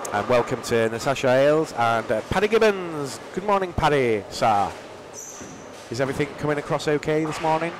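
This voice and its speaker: Over noticeable background noise, a man speaks fairly quickly with lively intonation. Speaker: bowling commentator. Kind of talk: live commentary. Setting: live stream from bowling centre.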